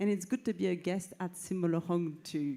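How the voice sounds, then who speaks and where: The speaker has a French accent and a dark, mellow tone. The pace is moderate, with ordinary pitch variation. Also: woman. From France. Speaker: cultural institute media and film head. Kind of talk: opening ceremony speech. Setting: stage with audience.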